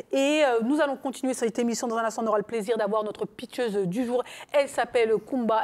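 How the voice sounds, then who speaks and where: A woman talks in an ordinary speaking voice. Her pitch is fairly high, with ordinary variation. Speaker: talk show host. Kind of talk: talk show hosting.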